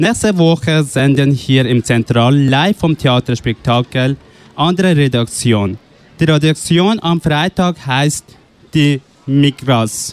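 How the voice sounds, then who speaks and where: Over music in the background, a man speaks at a very slow pace in a fairly high pitch with ordinary pitch variation and very even loudness, the sound dry and close with no echo. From Afghanistan. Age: 20s. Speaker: youth radio workshop participant. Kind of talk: interview; announcements. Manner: halting.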